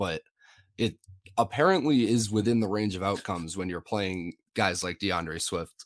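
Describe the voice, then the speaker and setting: A man with an unremarkable speaking voice talks at a moderate pace and fairly low pitch. His pitch variation is ordinary, and the recording is very clean with a silent background. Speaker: fantasy football analyst. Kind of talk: casual sports analysis chat.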